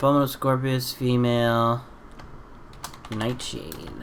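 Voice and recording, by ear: A man's fairly bright tone with little pitch movement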